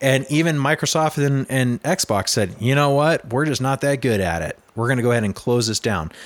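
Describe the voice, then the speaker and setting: With an unremarkable speaking voice, the speaker moves at a moderate pace with lively intonation and hardly any pauses. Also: man, medium pitch for a man. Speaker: podcast host. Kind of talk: casual chat.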